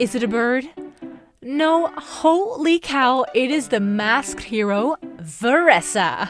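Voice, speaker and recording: With music in the background, a woman's fairly high voice carries an upbeat, playful tone and very wide pitch swings. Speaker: voice-over artist. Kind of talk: playful game guide narration.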